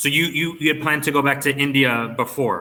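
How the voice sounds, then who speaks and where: A man talks at a fairly quick pace with a bright, sharp tone. His pitch is medium, with ordinary variation. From Canada, Toronto. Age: 30s. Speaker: online English tutor. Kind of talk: casual chat.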